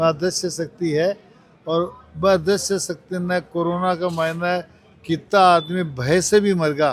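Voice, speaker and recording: Fairly even intonation marks this man's speech. His pitch is high. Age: 70s. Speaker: medical camp organizer. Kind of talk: interview.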